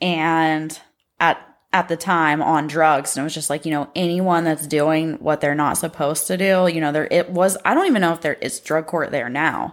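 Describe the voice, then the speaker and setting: A woman's very deep, low voice with a Midwestern American accent, at a moderate pace with fairly even intonation, in a very clean recording with a silent background. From Ohio, Pickaway County. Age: 30s. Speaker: recovering addict. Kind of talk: testimony.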